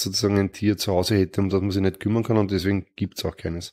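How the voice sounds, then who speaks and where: Using a normal speaking voice, a man talks at a fairly low pitch with fairly even intonation. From Lower Austria. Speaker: politician. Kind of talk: interview answers.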